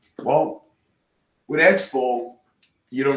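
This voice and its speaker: A man with a Spanish accent speaks in a space with audible room echo. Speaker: software developer and instructor; instructor. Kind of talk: technical presentation. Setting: video call. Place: home room.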